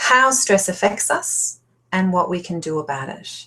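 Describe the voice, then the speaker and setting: Here is a woman with a medium pitch. Her voice is somewhat breathy. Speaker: life coach. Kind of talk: webinar presentation. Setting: online webinar. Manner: fast when excited.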